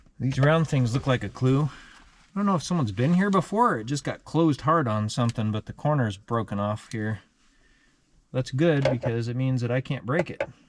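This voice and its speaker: A man with a normal speaking voice and lively intonation. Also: medium pitch for a man, fairly quick pace, very clean recording, silent background. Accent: American. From United States. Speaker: DIY car repair YouTuber. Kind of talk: casual tutorial vlog. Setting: home workshop, then wrecking yard.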